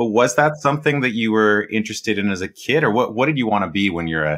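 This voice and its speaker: A man's fairly low voice with a Canadian accent at a very fast pace, with very wide pitch swings. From Canada, Edmonton. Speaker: podcast host. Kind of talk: interview conversation.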